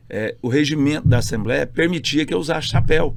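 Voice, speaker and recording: There is vocal fry in this man's voice. His pitch is medium, with ordinary variation. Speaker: state politician. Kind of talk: casual interview chat. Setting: podcast studio. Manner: loud; forceful, sounds like arguing.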